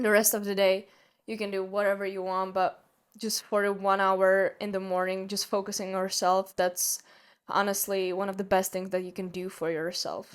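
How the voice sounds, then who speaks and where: The speaker has a Czech accent and a monotone, flat intonation at a moderate pace. The recording is very clean, with a silent background. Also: woman, medium pitch for a woman. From Czech Republic. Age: young. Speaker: podcast host. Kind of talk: solo podcast monologue. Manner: halting.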